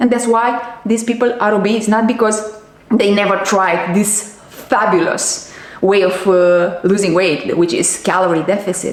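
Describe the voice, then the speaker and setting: A speaker with a non-native accent talks at a fairly slow pace in an animated tone, keeping loudness very even. The room echo is audible and background noise is noticeable. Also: woman, medium pitch for a woman. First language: not English. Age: 40s. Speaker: diet and nutrition coach. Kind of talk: vlog monologue. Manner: halting.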